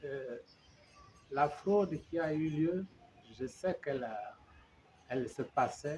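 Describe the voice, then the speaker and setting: A man with a fairly high pitch and ordinary pitch variation speaks at a very slow pace. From Gabon. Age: 70s. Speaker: opposition politician. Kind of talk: interview. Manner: halting.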